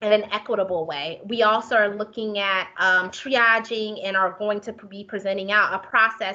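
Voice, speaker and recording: This is a woman whose voice sits at a fairly high pitch. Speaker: homelessness services planner. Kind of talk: conference presentation. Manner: fast.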